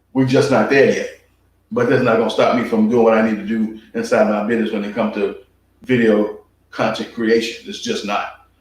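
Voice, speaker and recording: A man talks at a fairly quick pace in a room with audible echo. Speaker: tax preparer and small business coach. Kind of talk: motivational talk to camera. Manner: halting, with stutters and fumbles.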